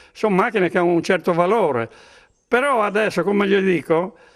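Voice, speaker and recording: Fairly quick speech from a man with a high pitch and ordinary pitch variation. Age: 70s. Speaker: retired businessman and vintage vehicle collector. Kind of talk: interview.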